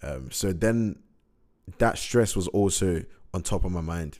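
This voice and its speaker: The man's voice is very deep and low, with ordinary pitch variation. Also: very clean recording, silent background. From Middlesbrough, north-east England. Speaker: rapper and podcaster. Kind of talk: casual monologue. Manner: casual, filler-heavy.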